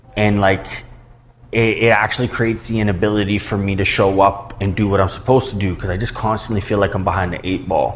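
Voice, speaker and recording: A man talks at a very fast pace with a fairly low pitch and monotone, flat intonation. Noticeable background noise can be heard. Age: 30s. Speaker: recovery and self-improvement podcaster. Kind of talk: casual monologue. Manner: casual, rambling with fillers.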